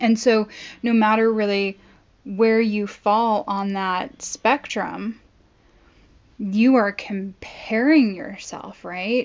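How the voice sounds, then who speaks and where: A woman talks at a very slow pace. Her pitch is fairly high and her intonation fairly even. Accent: American. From Southern California. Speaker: podcast host. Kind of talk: casual monologue.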